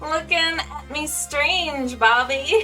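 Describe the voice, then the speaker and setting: A put-on character voice with clear music in the background. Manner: attempted impression, imperfect.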